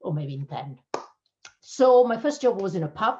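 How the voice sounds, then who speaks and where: Somewhat breathy, a woman speaks at a fairly slow pace with very wide pitch swings. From Italy (Abruzzo). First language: Italian. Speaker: cybersecurity channel manager. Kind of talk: interview.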